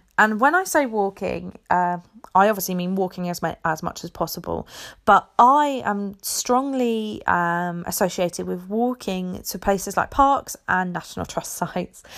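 A woman with an English accent is heard on a very clean recording with a silent background. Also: medium pitch for a woman, ordinary pitch variation, moderate pace. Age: 20s. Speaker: podcast host. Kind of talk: casual solo chat.

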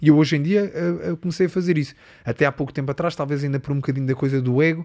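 The recording is very clean with a silent background. A man talks very fast in a fairly high pitch with fairly even intonation. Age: 30s. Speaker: Muay Thai fighter. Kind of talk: casual chat.

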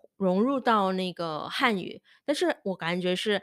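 A woman speaks at a medium pitch on a very clean recording with a silent background. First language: not Chinese (speaking Chinese). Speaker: Chinese language teacher and podcast host. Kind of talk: casual solo monologue. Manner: halting, many fillers.

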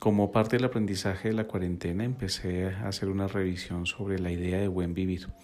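The man's pitch is very deep and low. He speaks at a fairly quick pace in a flat, monotone way. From Colombia, Bogotá (born in Quito, Ecuador). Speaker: psychologist and podcast host. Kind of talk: reflective solo podcast monologue. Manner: hesitant, many filler sounds.

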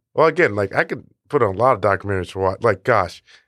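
The recording is very clean, with a silent background and a dry, close sound with no echo. A man with a very deep, low voice speaks very fast with lively intonation. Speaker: podcast co-host. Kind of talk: casual chat.

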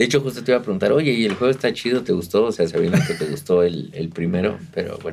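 A man in a Mexican accent, medium pitch, very fast with hardly any pauses and very wide pitch swings. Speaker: podcast co-host. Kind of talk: casual chat. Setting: video podcast recording.

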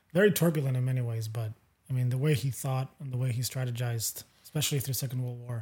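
At a very fast pace, a man speaks in a dark, mellow tone that is somewhat breathy. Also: medium pitch for a man, ordinary pitch variation. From Europe. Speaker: podcast host. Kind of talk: casual chat.

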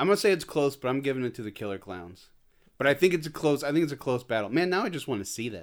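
The voice races at a very fast pace, with vocal fry and very wide pitch swings. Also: man, fairly high pitch for a man. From Indiana, US Midwest. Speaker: indie film director. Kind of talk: casual chat.

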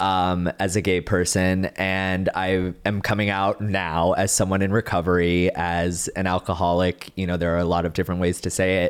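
A man with an American accent speaks at a moderate pace with hardly any pauses. His voice is very deep and low, with monotone, flat intonation and very even loudness. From Texas, Dallas-Fort Worth area. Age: 30s. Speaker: TV journalist. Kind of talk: personal testimony interview.

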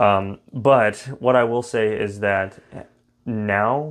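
Against a quiet background, a man talks in an ordinary speaking voice with an American accent. His pitch is fairly low and his intonation fairly even. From Texas, Fort Worth. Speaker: recovering alcoholic sharing his story. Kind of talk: casual interview about recovery.

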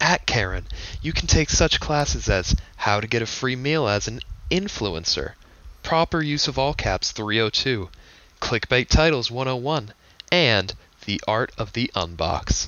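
A man's medium-pitched voice with vocal fry and lively intonation. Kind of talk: casual chat podcast banter. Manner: casual, filler words, joking.

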